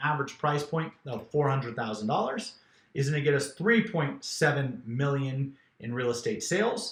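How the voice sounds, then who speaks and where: A man with a fairly high pitch. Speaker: real estate business coach. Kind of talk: business training talk. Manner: fast.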